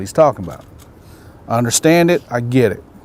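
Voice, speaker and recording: With a Carolinas accent, a man speaks in a medium-pitched voice at a fairly quick pace with lively intonation. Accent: US Southern (Carolinas). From South Carolina, US South. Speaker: umpire. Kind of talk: informal talk to trainees around a campfire.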